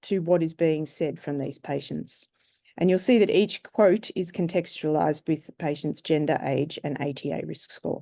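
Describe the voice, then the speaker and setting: The voice has a dark, mellow tone and an Australian accent, moving at a moderate pace with ordinary pitch variation over a quiet background. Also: woman. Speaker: surgeon and researcher. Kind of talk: conference presentation. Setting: webinar. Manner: formal.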